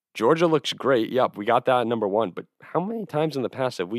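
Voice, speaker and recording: Recorded very cleanly against a silent background, a man with an American accent speaks at a fairly quick pace in an animated tone with ordinary pitch variation. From New Jersey. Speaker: sports podcast host. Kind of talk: solo sports analysis monologue.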